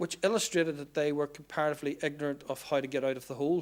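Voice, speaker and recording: Someone speaks at a very fast pace with a Northern Irish accent. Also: man. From Northern Ireland, Belfast/Lisburn. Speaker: public sector procurement speaker. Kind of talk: conference talk.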